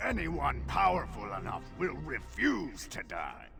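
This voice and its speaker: Over clear music in the background, a man uses a raspy, put-on character voice at a fairly slow pace. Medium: machinima.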